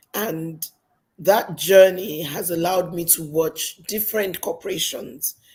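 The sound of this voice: A woman speaks slowly in a fairly low, raspy voice with a slightly husky edge, a slightly mellow tone and ordinary pitch variation.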